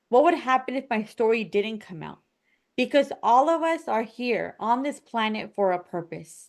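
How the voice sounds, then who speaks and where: A woman with an ordinary speaking voice and an American accent speaks at a fairly high pitch and a moderate pace, with lively intonation against a quiet background. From United States. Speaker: podcast host and confidence coach. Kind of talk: podcast conversation.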